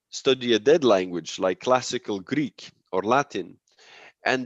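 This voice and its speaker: With a Dutch accent, a man of medium pitch and ordinary pitch variation speaks at a fairly slow pace in a dry, close sound with no echo against a quiet background. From Belgium, Antwerp. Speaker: linguist. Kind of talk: academic presentation and Q&A. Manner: halting, many repetitions.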